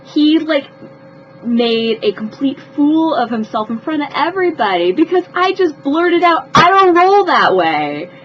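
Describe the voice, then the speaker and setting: Over noticeable background noise, a woman with a high pitch speaks fairly slowly, her pitch swinging very widely. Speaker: vlogger telling personal stories. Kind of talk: storytelling vlog. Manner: animated, with repetitions.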